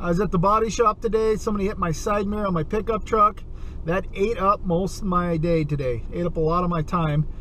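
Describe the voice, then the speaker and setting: A man with a high pitch and ordinary pitch variation talks at a fairly quick pace. The sound is dry with no echo, with light background noise. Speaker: outdoor vlogger. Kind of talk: casual vlog chat. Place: car. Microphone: phone near.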